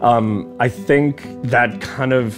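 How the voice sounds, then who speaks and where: With music in the background, a man talks at a very slow pace, his medium pitch showing ordinary variation. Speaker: country musician. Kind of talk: interview answer.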